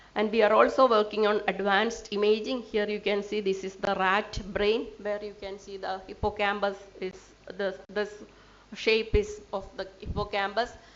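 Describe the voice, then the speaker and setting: In a room with audible echo, a woman speaks at a moderate pace and medium pitch, her intonation monotone and flat while her loudness swings widely. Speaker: scientist presenting research. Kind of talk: lecture. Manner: halting.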